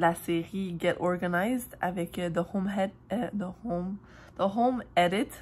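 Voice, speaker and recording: Speaking very slowly at fairly low pitch, a woman has a Quebec accent. The recording is very clean, with a silent background. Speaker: vlogger. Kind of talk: casual vlog talk. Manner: casual, many fillers.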